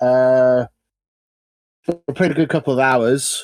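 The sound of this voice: The pace is slow, with fairly even intonation. The tone is slightly mellow. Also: man, medium pitch for a man.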